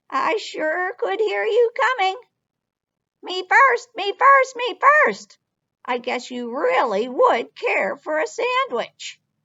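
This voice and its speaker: In a put-on character voice, someone cackles in a squeaky, raised, projected tone at a very slow pace. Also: woman, extremely high pitch for a woman. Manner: cackling.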